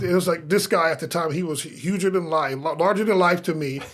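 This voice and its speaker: Noticeable background noise sits behind a man talking in an American accent. His pitch is high, his pace fairly quick and his intonation fairly even. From US Midwest, Omaha, Nebraska. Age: 50s. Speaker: pastor. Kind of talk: casual chat. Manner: halting, many restarts and repetitions.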